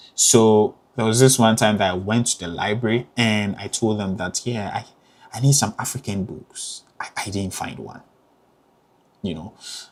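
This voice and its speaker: A man with a Ghanaian accent speaks at a moderate pace and fairly low pitch. His intonation is fairly even, but his loudness swings a lot. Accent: Ghanaian accent, kept. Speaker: graduate student vlogger. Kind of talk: casual advice vlog. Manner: hesitant, many fillers.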